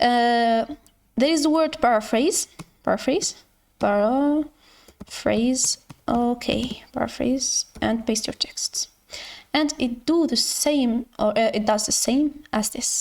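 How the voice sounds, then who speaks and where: A woman with a non-native accent and a high pitch speaks at a very slow pace with long, frequent pauses, ordinary pitch variation and very even loudness. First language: not English. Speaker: educational YouTuber. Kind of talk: tutorial. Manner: halting.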